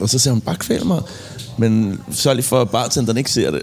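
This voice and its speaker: A man's fairly quick speech carries ordinary pitch variation, with noticeable background noise behind it. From Copenhagen, Denmark (Indre By, Christianshavn). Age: 40s. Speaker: music producer and musician. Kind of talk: casual chat. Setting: pub.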